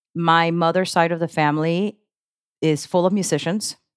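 A woman with a fairly low voice speaks at a moderate pace with fairly even intonation. It is a plain, everyday voice, with a dry, close sound and no echo. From grew up partly abroad, moved to the US as a child. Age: 40s. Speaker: local music promoter and musician. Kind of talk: casual chat.

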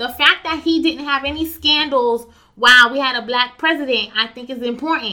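A woman with an American accent speaks at a moderate pace in a high, raised, projected voice with ordinary pitch variation and big swings in loudness. Noticeable background noise can be heard. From US, Haitian American. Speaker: podcast guest. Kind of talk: casual chat.

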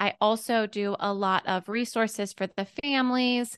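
Here a woman talks in a normal speaking voice, fairly high in pitch with ordinary pitch variation and a fairly slow pace. The sound is dry and close with no echo, over a quiet background. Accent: American. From US, Pittsburgh, Pennsylvania. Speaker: former teacher, homeschool educator and business founder. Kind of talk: interview, casual conversation.

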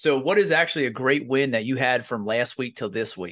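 Against a quiet background, a man talks at a fairly quick pace in an energetic, bright, sharp tone with a fairly high pitch. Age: young. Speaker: podcast host. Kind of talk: casual chat.

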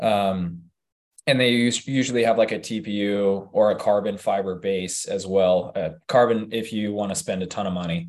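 A man's ordinary speaking voice, fairly low in pitch, at a moderate pace with ordinary pitch variation. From Utah. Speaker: hybrid fitness athlete and coach. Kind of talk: casual chat.

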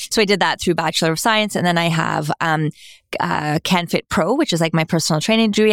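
Animated in tone, a woman with a fairly low pitch talks at a fairly quick pace at very even loudness, in a dry, close sound with no echo. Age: 40s. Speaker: fitness coach and kinesiologist. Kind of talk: casual interview chat. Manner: animated, filler-heavy (like, right).

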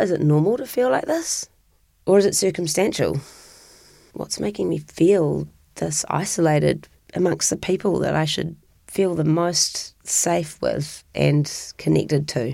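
On a very clean recording with a silent background, a woman with a New Zealand accent speaks at a fairly slow pace. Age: 40s. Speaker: interviewee sharing personal story. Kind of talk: personal testimony.

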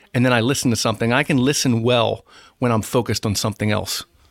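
A man with an American accent speaks in a plain, everyday voice at medium pitch and with fairly even intonation, captured in a dry, close sound with no echo on a very clean recording with a silent background. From South Jersey, US. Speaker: school superintendent. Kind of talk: interview conversation.

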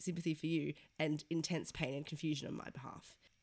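Speaking in an Australian accent, a woman goes at a very fast pace. Her intonation is monotone and flat. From Sydney, Australia. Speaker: podcast co-host, journalist. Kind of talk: casual chat.

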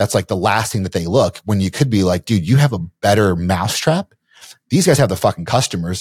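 A man with a fairly low voice talks at a fairly quick pace, a little breathy and with lively intonation. The recording is very clean, with a silent background. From Kentucky. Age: 40s. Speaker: entrepreneur and investor. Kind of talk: casual podcast interview. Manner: casual, profane.

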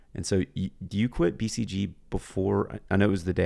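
Very deep, low male voice, vocal fry throughout, pitch moving in an ordinary way. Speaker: podcast host, military veteran. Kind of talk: casual chat.

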